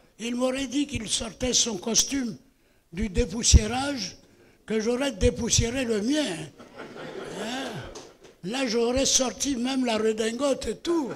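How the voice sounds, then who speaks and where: A man's extremely high-pitched voice at a very slow pace, ordinary pitch variation, and noticeable background noise. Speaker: veteran journalist and ceremony sponsor. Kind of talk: ceremonial speech. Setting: stage with audience. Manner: halting.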